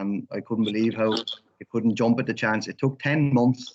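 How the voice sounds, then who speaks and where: In an Irish accent, a man talks at a moderate pace with fairly even intonation. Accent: Irish, Wexford. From Ireland, Wexford town. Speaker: interviewer. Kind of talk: interview.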